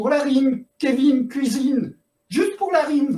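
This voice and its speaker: At a moderate pace, a man uses a put-on character voice pitched extremely high. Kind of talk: comic play reading. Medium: read story. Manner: sarcastic, exasperated.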